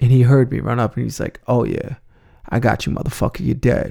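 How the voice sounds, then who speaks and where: A dark, mellow tone with vocal fry in an American accent. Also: man. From New York City (Bronx). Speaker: podcast host, suicide survivor. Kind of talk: personal storytelling monologue.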